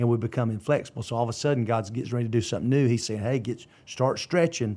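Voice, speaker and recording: The recording of a man with a Southern US accent is very clean, with a silent background. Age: 50s. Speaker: pastor. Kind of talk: casual chat.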